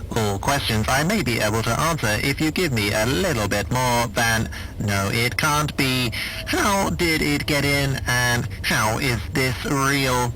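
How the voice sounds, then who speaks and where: Using a put-on character voice at a medium pitch, a man speaks at a fairly slow pace over clear background noise. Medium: audio drama. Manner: stuttering on words, dry and formal.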